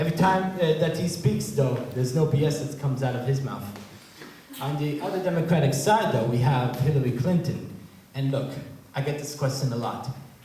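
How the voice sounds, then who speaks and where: A man speaks at a moderate pace, fairly high in pitch with ordinary variation. Audible room echo and noticeable background noise are present. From Israel. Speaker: comedian. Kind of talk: stand-up. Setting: stage with audience.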